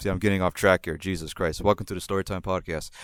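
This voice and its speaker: Recorded dry and close with no echo, a man with a slight New York accent sounds animated, his fairly low voice varying in pitch in an ordinary way. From New Jersey / New York area, born in Puerto Rico. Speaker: podcast storyteller. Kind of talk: casual storytelling monologue.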